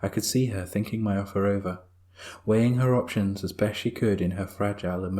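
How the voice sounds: A natural reading voice, pitch moving in an ordinary way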